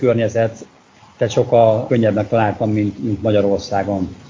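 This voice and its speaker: Noticeable background noise sits under the recording. The speaker is a man. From Hungary, Székesfehérvár. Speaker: construction business owner. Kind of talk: interview about living abroad. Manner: halting.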